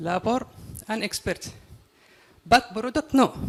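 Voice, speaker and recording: A man speaks in a Yemeni accent. His pitch is extremely high for a man. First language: Arabic. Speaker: audience member, businessman. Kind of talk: audience question. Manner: halting.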